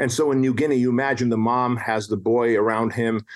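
Here a man speaks at a medium pitch. His pace is moderate. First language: non-English. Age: 40s. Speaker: entrepreneur and author. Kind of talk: casual interview chat.

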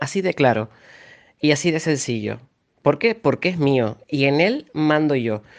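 A man with a fairly high voice talks at a fairly slow pace. His intonation is lively, broken by long, frequent pauses. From Canary Islands, Tenerife. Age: 30s. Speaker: journalist. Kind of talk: interview. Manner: halting, with repetitions and fillers.

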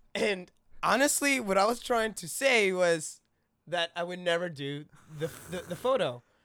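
A loud voice with lively intonation, a moderate pace and long, frequent pauses, on a very clean recording with a silent background. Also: man, high pitch for a man. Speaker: actor. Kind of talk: casual chat.

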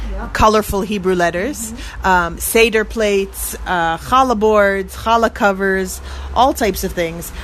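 A woman talks fairly slowly with noticeable noise behind her. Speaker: radio reporter host. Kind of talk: interview on location. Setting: outdoors street.

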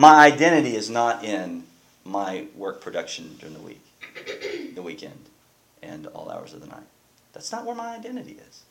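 A man talks fairly slowly, his voice carrying audible room echo amid noticeable background noise. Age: 40s. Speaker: pastor. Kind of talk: sermon.

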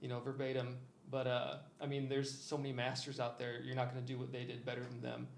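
Over noticeable background noise and audible room echo, a man with a Midwestern American accent talks very fast. His pitch is medium and his intonation is flat and monotone. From Iowa. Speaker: DJ and electronic music producer. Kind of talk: casual interview chat. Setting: studio, in person.

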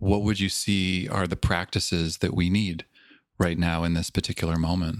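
A man's very deep, low voice with a Canadian accent, monotone and flat, at a moderate pace, with a dry, close sound, no echo, and a very clean, silent background. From Canada, Toronto. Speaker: podcast host, mindfulness teacher. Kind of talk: interview.

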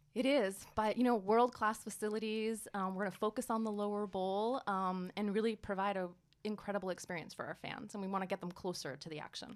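With an American accent and an unremarkable speaking voice, a woman of medium pitch talks at a fairly quick pace with fairly even intonation and hardly any pauses. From New York area (Brooklyn-born, New Jersey schooling). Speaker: sports team president. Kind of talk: interview. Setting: studio.

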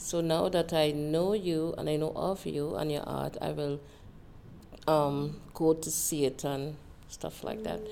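Over noticeable background noise, a woman with a very deep, low pitch speaks fairly slowly and with fairly even intonation. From Trinidad and Tobago. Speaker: interviewee. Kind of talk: casual conversation. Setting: library.

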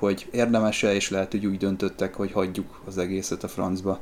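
Fairly quick, monotone, flat speech from a man. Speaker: podcast host, sci-fi fan. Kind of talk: casual chat. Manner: formal, scripted-sounding.

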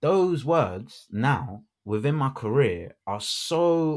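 The recording is very clean, with a silent background. A man with a London accent speaks with very wide pitch swings. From London, England. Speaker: radio broadcaster and actor. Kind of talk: casual chat. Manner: animated.

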